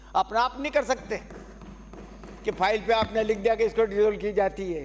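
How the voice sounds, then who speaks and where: Noticeable background noise accompanies the man who is talking. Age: 80s+. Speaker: politician. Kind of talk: legislative assembly speech. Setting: state legislative assembly.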